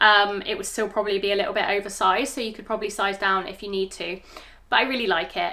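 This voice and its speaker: Very fast speech in a British accent, over noticeable background noise. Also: woman. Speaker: fashion vlogger. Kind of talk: product review try-on. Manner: casual, hesitant with fillers.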